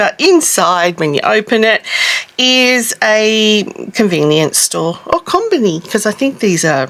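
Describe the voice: Fairly slow speech with lively intonation, a fairly bright tone and vocal fry. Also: woman.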